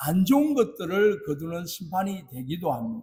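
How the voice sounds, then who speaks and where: With a Gyeongsang accent, a man speaks in a high pitch and a dark, mellow tone, his pitch swinging very widely. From South Korea, Busan. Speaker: pastor. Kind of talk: sermon.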